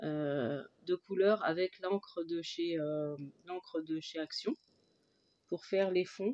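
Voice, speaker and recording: A woman's dark, mellow tone at medium pitch. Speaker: crafter. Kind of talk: casual talk to camera.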